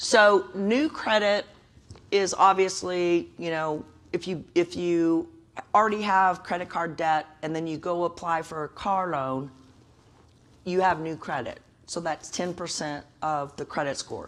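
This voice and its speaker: Here is a plain, everyday voice. A woman speaks at a fairly low pitch. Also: ordinary pitch variation, fairly slow pace. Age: 60s. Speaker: credit counselor. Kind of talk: workshop presentation.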